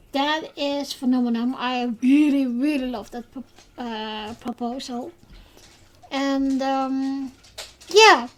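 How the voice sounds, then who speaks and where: A woman with a Dutch accent, high in pitch, at a very slow pace. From Netherlands. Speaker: podcast host. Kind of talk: podcast monologue. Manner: scripted reading; halting, many fillers.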